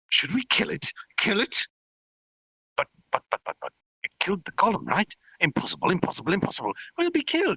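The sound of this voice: A man's put-on character voice, high-pitched, bright and sharp in tone with a slightly husky edge, very wide pitch swings, a fairly quick pace broken by long, frequent pauses, and a dry, close sound with no echo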